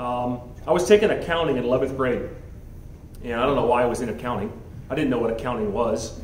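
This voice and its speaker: A man with an American accent talks very fast, with ordinary pitch variation and long, frequent pauses. The room echoes audibly, and there is light background noise. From US South, Miami, Florida; Florida. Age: 40s. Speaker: school head; guest. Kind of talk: motivational talk. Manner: halting. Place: meeting room. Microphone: handheld.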